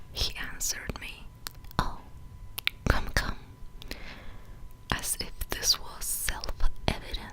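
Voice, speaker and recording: A man whispers at a very slow pace, with long, frequent pauses and big swings in loudness. Noticeable background noise runs underneath. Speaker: ASMR reader. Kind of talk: ASMR book reading.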